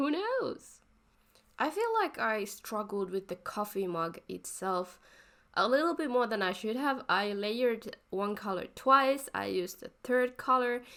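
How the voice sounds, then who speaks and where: A woman with a non-native accent speaks at a fairly slow pace, her pitch swinging very widely, in a very clean recording with a silent background. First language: not English. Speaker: art YouTuber. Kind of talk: voice-over commentary on drawing process. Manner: halting, self-correcting.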